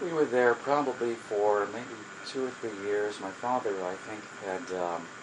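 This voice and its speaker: A fairly low-pitched man at a fairly slow pace, with ordinary pitch variation amid noticeable background noise. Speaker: social worker. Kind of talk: oral history interview. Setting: home. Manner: halting.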